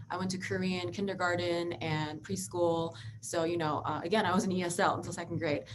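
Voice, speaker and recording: Over noticeable background noise and audible room echo, a woman with an American accent speaks fairly quickly in a fairly low pitch. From Philadelphia, US. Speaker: lawyer. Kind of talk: interview.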